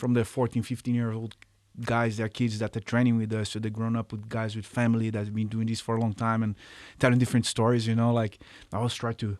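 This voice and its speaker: A man's medium-pitched voice at a very fast pace, monotone and flat, on a very clean recording with a silent background. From Brazil, Rio de Janeiro. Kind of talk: casual interview chat.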